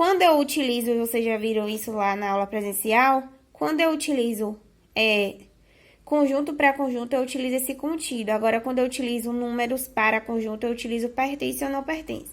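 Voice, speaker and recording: Her voice high and her pitch variation ordinary, a woman speaks at a fairly quick pace in a very clean recording with a silent background. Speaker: math teacher. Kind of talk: video lesson.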